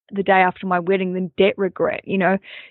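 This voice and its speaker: A woman with an Australian accent. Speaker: comedian and wedding podcast host. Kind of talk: casual interview.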